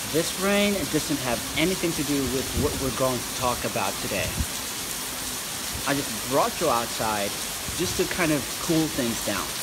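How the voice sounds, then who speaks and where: Loud background noise sits behind a man speaking at a fairly slow pace. He leaves long, frequent pauses. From Philippines, Igorot highlands. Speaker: vlogger. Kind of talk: casual talk to camera. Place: street. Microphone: phone near.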